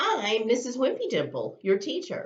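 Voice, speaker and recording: A woman puts on a character voice, high in pitch. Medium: read story. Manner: brisk, classroom-announcing.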